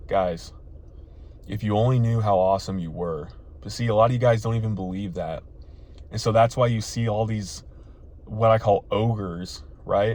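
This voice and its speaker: The voice is somewhat breathy with an animated tone and ordinary pitch variation. It moves at a moderate pace with long, frequent pauses. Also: man, fairly low pitch for a man. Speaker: dating advice youtuber. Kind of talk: motivational vlog talk. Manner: occasional stutter; casual, animated.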